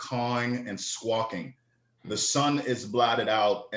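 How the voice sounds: This is a natural reading voice. It carries through the whole clip.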